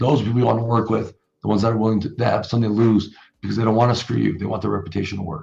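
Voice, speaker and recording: A man speaks very fast in a fairly low voice with a dark, mellow tone and vocal fry. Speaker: entrepreneur. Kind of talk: interview. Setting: podcast. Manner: animated.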